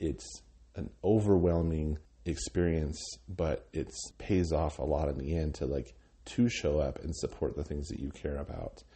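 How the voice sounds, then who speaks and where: A man with an American accent, a very deep, low pitch, vocal fry, ordinary pitch variation and a fairly slow pace. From Wyoming, US (Cheyenne). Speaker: arts nonprofit director. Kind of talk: interview. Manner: halting, many fillers and repeated words.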